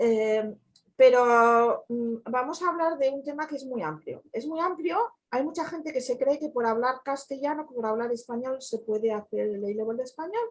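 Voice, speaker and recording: A woman speaks at a moderate pace with hardly any pauses. Her high pitch carries lively intonation. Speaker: community educator. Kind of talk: online talk.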